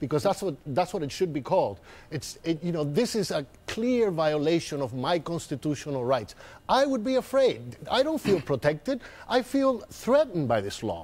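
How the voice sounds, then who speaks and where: Very wide pitch swings in a man's high voice. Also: moderate pace. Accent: strong Spanish. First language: Spanish. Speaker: political commentator. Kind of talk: heated debate. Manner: animated.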